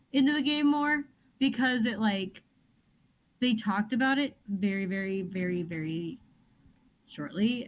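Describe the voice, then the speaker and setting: Somewhat breathy and at a fairly slow pace, the voice has lively intonation and long, frequent pauses. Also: woman, fairly high pitch for a woman. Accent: American. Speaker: book club podcast co-host. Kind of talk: casual chat. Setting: livestream.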